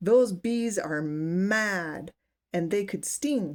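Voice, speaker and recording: Using a put-on character voice, a woman at medium pitch speaks very slowly with lively intonation. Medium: read story.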